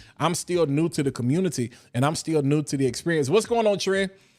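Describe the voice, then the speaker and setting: In a very clean recording with a silent background, a man speaks in an animated tone at a fairly high pitch with ordinary pitch variation. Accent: eastern North Carolina. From Eastern North Carolina (Washington, NC). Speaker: fragrance content creator. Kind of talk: casual livestream talk. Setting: live stream.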